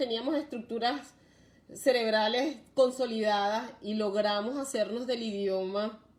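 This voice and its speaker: A woman with a Venezuelan accent speaks at a fairly slow pace with ordinary pitch variation. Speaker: live stream host on parenting and migration. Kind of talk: live stream talk. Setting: live video stream.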